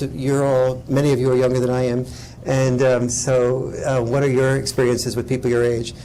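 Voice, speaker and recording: A man's medium-pitched voice comes through noticeable background noise and audible room echo. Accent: American. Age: old. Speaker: author and speaker. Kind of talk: lecture Q&A. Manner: animated.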